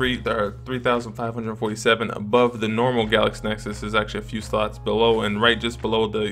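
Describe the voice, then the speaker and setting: A man speaks with faint music in the background. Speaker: tech reviewer. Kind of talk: tutorial. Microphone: camera far.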